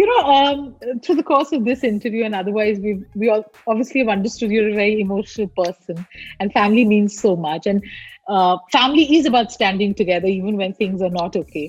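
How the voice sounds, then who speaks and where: This woman speaks very fast in a fairly high pitch with ordinary pitch variation. Her voice is somewhat breathy. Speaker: entertainment interviewer. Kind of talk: celebrity interview.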